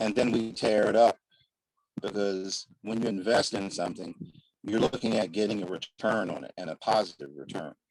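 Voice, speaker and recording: Using an ordinary speaking voice, a man talks at a moderate pace with a fairly low pitch and ordinary pitch variation. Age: 60s. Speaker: community leader. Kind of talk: panel discussion.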